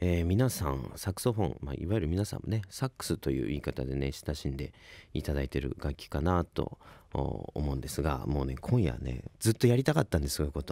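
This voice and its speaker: With a very deep, low pitch and vocal fry, a man speaks at a fairly quick pace in a dark, mellow tone with lively intonation, the sound dry with no echo and the background quiet. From Ibaraki, Japan; Japan. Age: 20s. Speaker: saxophonist and radio host; radio host. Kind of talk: radio talk show. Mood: enthusiastic, relaxed storytelling. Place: studio. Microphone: studio mic.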